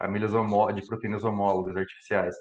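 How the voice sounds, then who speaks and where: A man talks at a very fast pace. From Brazil, interior of São Paulo state. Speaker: computational biologist giving a talk. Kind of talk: lecture. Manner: hesitant, many fillers and repetitions.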